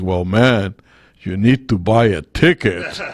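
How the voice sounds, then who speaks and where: A man puts on a booming character voice, fairly low in pitch and fairly slow in pace. The sound is dry and close, with no echo. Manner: commanding, authoritative.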